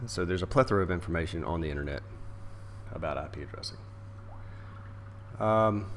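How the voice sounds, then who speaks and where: His voice is very deep and low, with vocal fry and lively intonation. This man talks at a very fast pace broken by long, frequent pauses. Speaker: network engineer. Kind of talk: informal screen-recorded tutorial. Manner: hesitant, many fillers.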